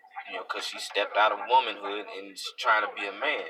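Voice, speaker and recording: Background music behind a man speaking at a moderate pace. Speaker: vlogger. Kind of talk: live video monologue. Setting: live stream. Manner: halting, repetitive.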